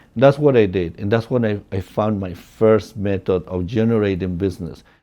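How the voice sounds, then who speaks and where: This man's voice sits at a fairly low pitch and has a dark, mellow tone. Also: ordinary pitch variation, moderate pace. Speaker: real estate agent. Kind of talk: personal storytelling. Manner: casual, many fillers.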